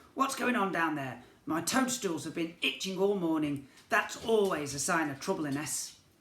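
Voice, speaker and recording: Doing a gruff, put-on character voice at a high pitch, a man speaks at a moderate pace with lively intonation and a slight echo. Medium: read story. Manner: gruff, brusque, rude.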